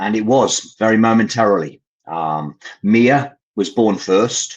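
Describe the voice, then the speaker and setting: A man with an English accent speaks very slowly in a fairly low voice, his pitch varying in an ordinary way. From English Midlands, Coventry. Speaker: parent caregiver, charity founder. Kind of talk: interview storytelling. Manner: hesitant, many fillers.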